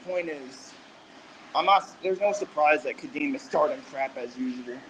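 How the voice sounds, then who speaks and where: A man with a fairly high pitch speaks at a moderate pace. His intonation is lively, with noticeable background noise. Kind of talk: casual chat. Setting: in public, at a gym. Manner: halting.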